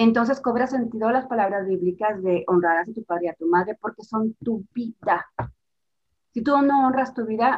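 Somewhat breathy, a fairly high-pitched woman speaks at a moderate pace with lively intonation. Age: 50s. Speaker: family systems therapist. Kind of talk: interview.

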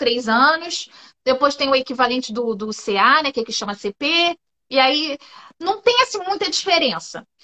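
A woman with a high pitch uses a raised, projected voice that moves through very wide pitch swings. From Brazil, Rio de Janeiro. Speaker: public servant at a university, Brazilian expat. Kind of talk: casual interview in a live stream. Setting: live video stream.

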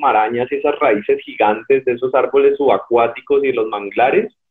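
A man speaking at a fairly slow pace. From Colombia, Cali. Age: 30s. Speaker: cyclist and ultra-endurance athlete. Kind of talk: interview. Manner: hesitant, many repetitions.

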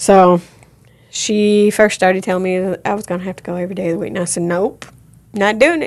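Here is a woman with a normal speaking voice at a medium pitch. She talks at a fairly quick pace. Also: fairly even intonation. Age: 50s. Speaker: suicide and assault survivor, recovery worker. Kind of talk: testimony. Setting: studio.

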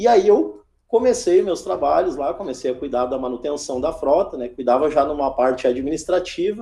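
With a dark, mellow tone and lively intonation, a man speaks at a moderate pace and a fairly high pitch. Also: hardly any pauses. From Rio Grande do Sul, Brazil (Alvorada, Porto Alegre area). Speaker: fleet manager. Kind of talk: interview. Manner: halting, with repeated fillers.

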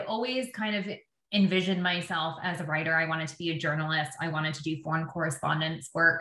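At a fairly quick pace, the speaker talks with a Canadian accent amid audible room echo. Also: woman. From Canada, Windsor, Ontario. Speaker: public relations agency founder. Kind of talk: interview.

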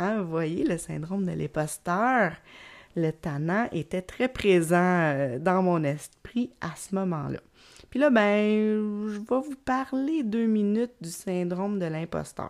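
A woman with a Quebec accent speaks at a very slow pace in a medium pitch, her intonation lively, on a very clean recording with a silent background. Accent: Québécois French. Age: 40s. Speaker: podcast host and creativity coach. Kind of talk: solo podcast monologue. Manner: hesitant, many fillers and repetitions; laughs often.

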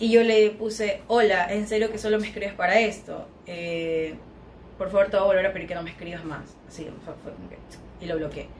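A woman's medium-pitched voice with fairly even intonation and big swings in loudness, amid noticeable background noise and audible room echo. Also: moderate pace. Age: 20s. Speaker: plus-size model. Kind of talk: casual chat.

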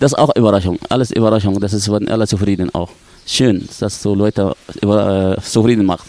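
A man speaks with an Arabic accent and fairly even intonation. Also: fairly low pitch for a man, fairly quick pace. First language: Arabic (speaking German). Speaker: dive instructor. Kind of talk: casual interview. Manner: halting.

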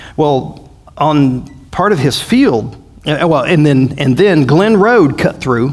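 With a Southern US accent, a man talks at a very slow pace and a fairly high pitch, his intonation lively and his loudness very even, with audible room echo around him. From US South. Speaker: pastor. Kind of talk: bible study. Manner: halting; animated.

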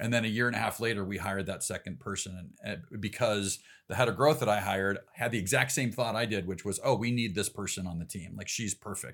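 A man with a Midwestern American accent and a fairly low pitch talks very fast on a very clean recording with a silent background. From US Midwest, Chicago suburbs (Elgin, Illinois). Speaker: ecommerce executive. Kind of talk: casual interview.

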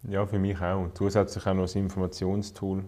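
A man talks at a very fast pace with a Swiss German accent. His voice is very deep and low, with a dark, mellow tone. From Switzerland, canton of Zurich. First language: Swiss German (speaking German). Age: 20s. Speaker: politician. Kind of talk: casual conversation.

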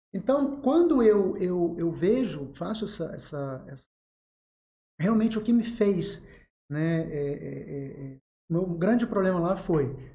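Very slow with long, frequent pauses, a man's high voice has a dark, mellow tone, lively intonation and big swings in loudness amid audible room echo. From Rio de Janeiro state, Angra dos Reis. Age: 40s. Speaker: psychiatrist. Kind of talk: interview.

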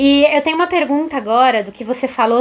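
A woman speaks with ordinary pitch variation. Noticeable background noise sits behind her voice. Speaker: co-host, communications team member.

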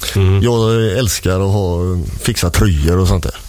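A man with a very deep, low voice talks at a moderate pace with ordinary pitch variation. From Gothenburg, western Sweden. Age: 50s. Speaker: martial arts instructor. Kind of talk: casual chat. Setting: radio studio.

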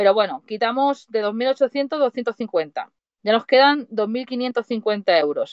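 A woman's high voice, very slow, with lively intonation. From Spain, Mataró (Barcelona). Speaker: van-life traveller and coach. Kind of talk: casual chat. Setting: remote call on a livestream.

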